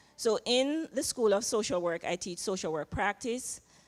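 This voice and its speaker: Her pace is moderate and her pitch medium, with ordinary pitch variation. This woman is recorded in a dry, close sound with no echo. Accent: Jamaican. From Jamaica. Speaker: social work professor. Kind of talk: panel interview. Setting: chapel panel with audience.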